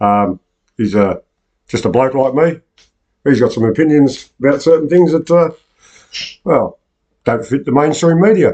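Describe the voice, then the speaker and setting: In an Australian accent, a man speaks at a moderate pace and a fairly high pitch, with lively intonation and long, frequent pauses. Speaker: online news show host. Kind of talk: casual chat. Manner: halting.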